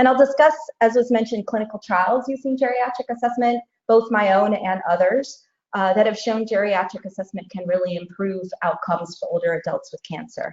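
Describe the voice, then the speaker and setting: Here is a woman with a plain, everyday voice and an American accent. Her pitch is fairly high and her pace fairly quick. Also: ordinary pitch variation. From United States. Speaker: oncologist and researcher. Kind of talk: lecture.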